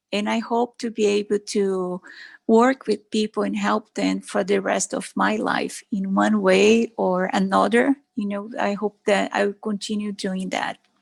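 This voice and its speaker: A woman with a Brazilian Portuguese accent at a fairly slow pace, in a very clean recording with a silent background and a dry, close sound with no echo. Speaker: doctor. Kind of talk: talk to a club meeting. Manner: halting.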